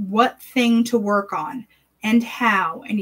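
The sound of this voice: Against a quiet background, the speaker uses an unforced reading voice. The intonation is fairly even.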